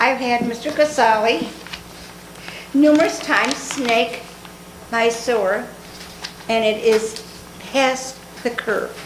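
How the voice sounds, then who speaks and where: A woman with an American accent speaks very slowly, with long, frequent pauses, at a fairly high pitch and ordinary pitch variation. Room echo is audible, and background noise is noticeable. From Dunkirk, western New York. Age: 70s. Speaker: resident. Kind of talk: public comment complaint. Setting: council meeting chamber.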